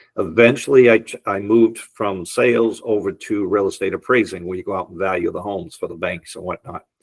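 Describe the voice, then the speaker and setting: With an American accent, a man talks with hardly any pauses, ordinary pitch variation and big swings in loudness. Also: fairly low pitch for a man, fairly quick pace. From US Northeast, Boston area. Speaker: entrepreneur and real estate appraiser. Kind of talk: podcast interview, telling life story.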